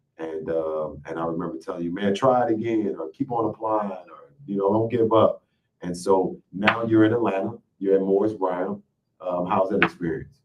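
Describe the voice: With fairly even intonation, a man speaks at a low pitch. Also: moderate pace.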